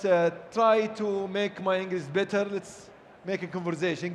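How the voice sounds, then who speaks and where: This man speaks with a strong Saudi accent. His pace is moderate and his intonation fairly even. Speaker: event host. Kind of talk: live event hosting, casual banter. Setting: stage at live event.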